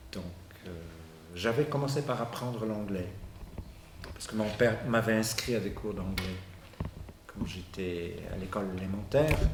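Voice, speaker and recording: Fairly slow speech from a man, with long, frequent pauses, ordinary pitch variation, audible room echo and noticeable background noise. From Bulgaria. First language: Bulgarian (speaking French). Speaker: university professor, sociolinguist. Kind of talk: interview. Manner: halting, frequent repetitions and hesitations.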